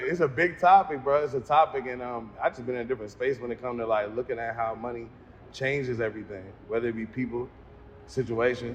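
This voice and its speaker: Somewhat breathy, a man at a medium pitch speaks at a very fast pace with ordinary pitch variation. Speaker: interviewer. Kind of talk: casual interview.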